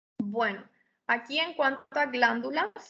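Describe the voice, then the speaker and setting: A woman projects a raised, high voice with a bright, sharp tone at a fairly slow pace. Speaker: histology lecturer. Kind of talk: lecture.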